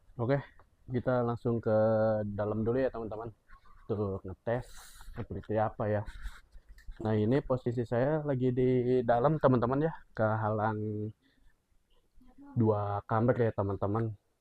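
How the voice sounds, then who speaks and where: A man at medium pitch and a moderate pace, fairly even in intonation, with long, frequent pauses. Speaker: motovlogger reviewing a product. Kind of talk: casual unboxing review. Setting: indoors, two rooms away from camera. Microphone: new clip-on mic on phone being tested.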